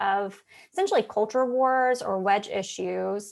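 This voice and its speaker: A woman with a normal speaking voice and a fairly high pitch speaks at a fairly slow pace with ordinary pitch variation over a quiet background. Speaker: policy advocate presenter. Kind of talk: conference presentation.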